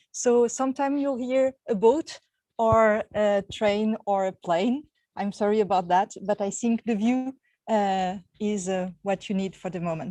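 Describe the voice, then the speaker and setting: With a French accent, a woman of medium pitch and a dark, mellow tone speaks at a fairly slow pace with ordinary pitch variation in a dry, close sound with no echo. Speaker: university researcher. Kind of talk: online lecture. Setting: outdoors on a terrace, video call.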